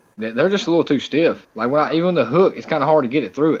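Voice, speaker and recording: A man talks at a very fast pace with a Southern US accent. His intonation is lively. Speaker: fishing streamer. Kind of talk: casual chat. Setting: live stream.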